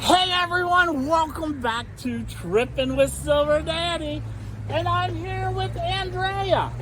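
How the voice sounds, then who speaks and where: Noticeable background noise and audible room echo surround a man who speaks at a very slow pace. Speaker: travel vlogger. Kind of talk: casual interview at a market stall. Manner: loud; animated.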